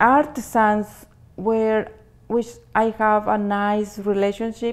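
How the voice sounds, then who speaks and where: At a very slow pace, a woman speaks with a fairly high pitch. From Mexico, southern Jalisco. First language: Spanish. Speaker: clothing retailer, business owner. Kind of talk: interview. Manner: halting.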